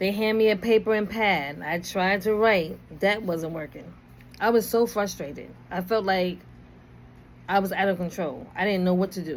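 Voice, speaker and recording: A woman speaks in a New York accent at a moderate pace. Her pitch is medium, with ordinary variation. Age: 50s. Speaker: video blogger. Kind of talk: personal storytelling. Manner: casual, conversational.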